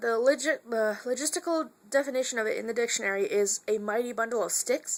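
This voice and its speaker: A woman speaks loudly at a high pitch. Her tone is bright and sharp, with ordinary pitch variation. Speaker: vlogger. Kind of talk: casual vlog monologue. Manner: fast, rambling with fillers.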